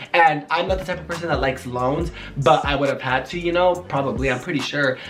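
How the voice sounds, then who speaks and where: A man talks very fast at a fairly high pitch, with ordinary pitch variation. Music plays behind him, and the room echo is audible. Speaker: YouTuber and small business owner. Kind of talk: casual Q&A vlog. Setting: at home.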